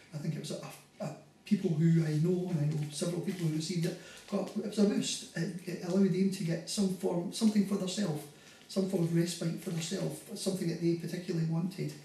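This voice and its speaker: A man with a high pitch speaks in a Scottish accent at a fairly quick pace and with fairly even intonation. The room echo is audible, and background noise is noticeable. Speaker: carer. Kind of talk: interview testimony. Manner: halting, many fillers.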